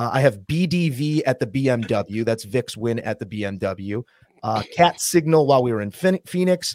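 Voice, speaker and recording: In an American accent, a man with a medium pitch uses lively intonation in an ordinary speaking voice, with a dry, close sound and no echo. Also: moderate pace. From Chicago, US Midwest. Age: 30s. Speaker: sports TV anchor. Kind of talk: casual chat.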